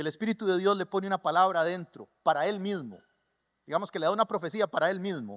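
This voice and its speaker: A man's very fast speech at a high pitch, in a dry, close sound with no echo. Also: ordinary pitch variation. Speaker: pastor. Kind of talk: sermon. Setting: church. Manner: animated.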